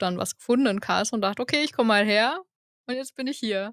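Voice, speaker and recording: A woman's fairly high voice, with pitch that moves in an ordinary way, comes across dry and close without any echo. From eastern Germany, Saxony (Görlitz). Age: 20s. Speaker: production engineer. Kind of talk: podcast interview. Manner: casual, enthusiastic.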